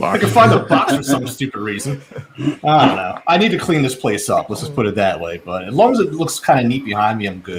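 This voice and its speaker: A man at medium pitch talks very fast with very wide pitch swings over noticeable background noise. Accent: Philadelphia. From Philadelphia, US. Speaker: watch YouTuber. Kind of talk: casual chat.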